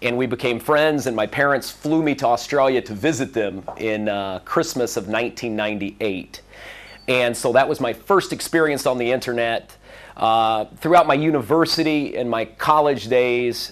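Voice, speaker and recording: A man with a Midwestern American accent talks at a moderate pace. His medium pitch varies in an ordinary way. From US Midwest, Central Illinois. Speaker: conference speaker. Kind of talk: conference talk. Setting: stage with audience.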